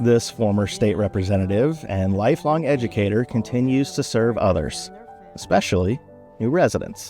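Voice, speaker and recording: With music playing in the background, a man talks at a moderate pace in a medium pitch, his intonation lively. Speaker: narrator. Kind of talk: corporate documentary narration.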